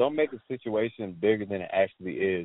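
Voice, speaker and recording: Here a man has an ordinary speaking voice. He talks at a moderate pace with ordinary pitch variation. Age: 20s. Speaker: trader and coach. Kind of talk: interview.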